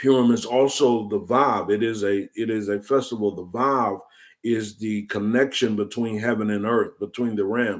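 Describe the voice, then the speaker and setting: A man with an American accent speaks at a medium pitch. His pace is fairly slow and his intonation fairly even. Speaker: prophetic teacher. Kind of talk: teaching sermon. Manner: halting with repetitions.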